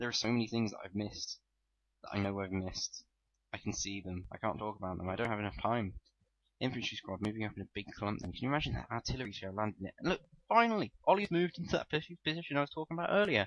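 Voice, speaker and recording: A man talks at a very fast pace with lively intonation. His voice sits fairly low. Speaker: gaming commentator. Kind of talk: gameplay commentary.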